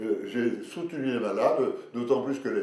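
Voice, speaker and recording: A man talks at a fairly slow pace. Noticeable background noise and audible room echo fill the recording. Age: 80s+. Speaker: retired professor, pharmacologist. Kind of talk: interview. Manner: energetic.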